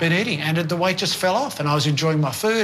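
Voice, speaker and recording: Against noticeable background noise and audible room echo, a man with an Australian accent speaks at a high pitch. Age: 60s. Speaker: sports team doctor. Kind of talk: interview testimony.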